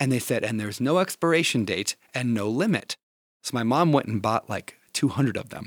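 Delivered at a fairly quick pace with lively intonation, a plain, everyday voice carries an American accent. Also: man, medium pitch for a man. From small town Minnesota, US Midwest. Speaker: podcast host. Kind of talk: casual interview.

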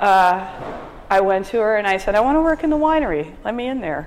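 Lively intonation from a woman, with noticeable background noise around her. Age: 50s. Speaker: winery owner and winemaker. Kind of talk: oral history interview.

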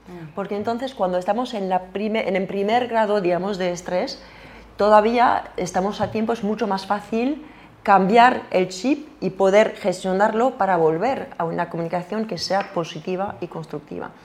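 Here a woman talks at a medium pitch and moderate pace with ordinary pitch variation. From France. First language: French (speaking Spanish). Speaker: communication coach. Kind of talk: interview. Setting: studio. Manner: halting, with many repetitions.

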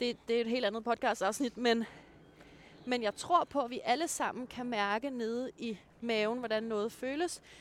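A woman speaks in an ordinary speaking voice, fairly high-pitched, with ordinary pitch variation and a fairly slow pace. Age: 30s. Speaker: dating blogger. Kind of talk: casual chat. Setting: outdoors on a walk.

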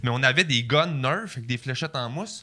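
This man has a bright, sharp tone and lively intonation, speaking with a Quebec accent. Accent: Québécois French. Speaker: comedian. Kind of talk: casual chat.

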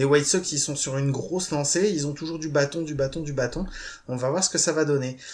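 A man with an ordinary speaking voice, fairly high in pitch, fairly quick in pace, with fairly even intonation. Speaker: podcast host.

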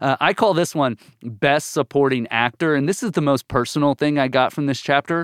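At a moderate pace, a man with a fairly high pitch and ordinary pitch variation speaks in an animated tone, in a very clean recording with a silent background and a dry, close sound with no echo. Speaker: Bible teacher guest. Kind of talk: casual chat, Bible discussion. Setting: podcast studio. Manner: excitable, animated.

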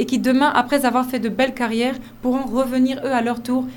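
A woman speaks very fast in a high voice. Room echo is audible around her. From Côte d'Ivoire. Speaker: fashion model and agency founder. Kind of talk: radio interview.

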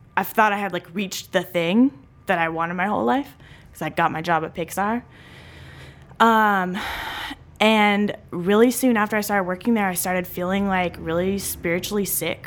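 A woman with an American accent has an ordinary speaking voice, a medium pitch, ordinary pitch variation and a moderate pace. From US South, Nashville, Tennessee. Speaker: community organizer. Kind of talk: interview.

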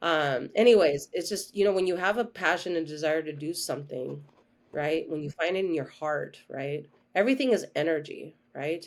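A woman speaks in an unremarkable speaking voice, fairly low-pitched with ordinary pitch variation, at a moderate pace. The recording is very clean with a silent background. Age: 40s. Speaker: holistic health coach. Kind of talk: interview.

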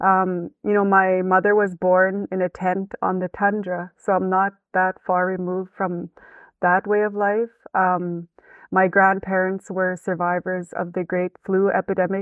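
A woman speaks at a fairly slow pace with a medium pitch. Her intonation is monotone and flat. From Canadian Western Arctic, Northwest Territories. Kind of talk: interview.

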